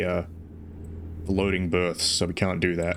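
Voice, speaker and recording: In an Australian accent, a man delivers flat, monotone speech at a fairly quick pace with a very deep, low voice. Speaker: VTuber streamer. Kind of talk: casual chat. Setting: live stream while playing a truck game. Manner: halting, many repetitions.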